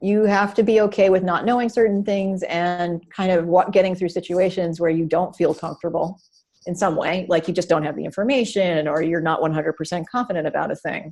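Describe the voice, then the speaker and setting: A woman speaks in an ordinary speaking voice, fairly low in pitch. Her intonation is fairly even and her pace fairly quick. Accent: American. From Maine, US. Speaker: director of user experience design. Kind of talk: interview.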